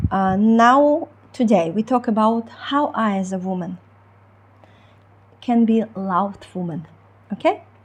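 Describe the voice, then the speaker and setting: In a Ukrainian accent, a somewhat breathy woman with a fairly high pitch uses lively intonation at a fairly slow pace, with long, frequent pauses. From Ukraine. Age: 30s. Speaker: relationship coach. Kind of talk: online coaching talk. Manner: halting, many fillers.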